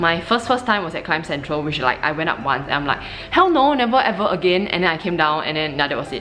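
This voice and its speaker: Very fast speech with lively intonation comes through audible room echo and noticeable background noise. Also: woman, fairly low pitch for a woman. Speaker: climbing vlogger. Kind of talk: vlog.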